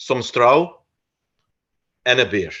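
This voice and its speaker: A man speaks with a Flemish accent. His pace is very slow. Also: quiet background. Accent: Flemish Dutch accent in English. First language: Dutch. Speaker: researcher of folk customs. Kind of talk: lecture. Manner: halting, many fillers.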